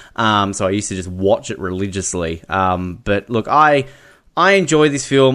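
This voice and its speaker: A man's lively intonation at a moderate pace over a quiet background. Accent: Australian. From Australia. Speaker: podcast host. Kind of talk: casual chat.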